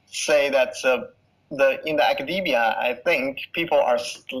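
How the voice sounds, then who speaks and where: A man at a fairly slow pace, with a non-native accent. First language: not English. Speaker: blockchain researcher, postdoc. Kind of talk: interview. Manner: halting.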